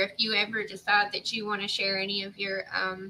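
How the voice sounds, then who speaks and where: A woman speaks at a moderate pace and medium pitch. Her tone is bright and sharp, her intonation monotone and flat. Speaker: YouTube channel host. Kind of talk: casual interview chat. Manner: stuttering, halting.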